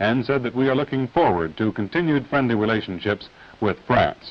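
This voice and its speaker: Talking at a fairly quick pace, a man with a medium pitch uses lively intonation in a plain, everyday voice. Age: 20s. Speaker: news anchor. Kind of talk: TV news broadcast read.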